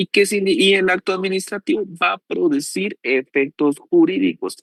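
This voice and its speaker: A man at a moderate pace, with a dry, close sound and no echo. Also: very even loudness. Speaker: law professor. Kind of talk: lecture. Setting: online class.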